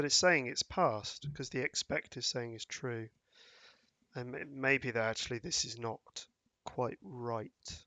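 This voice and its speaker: Quietly and at a fairly slow pace, a man speaks at medium pitch with ordinary pitch variation. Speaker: test automation specialist, live stream co-host. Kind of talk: live coding stream. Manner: halting.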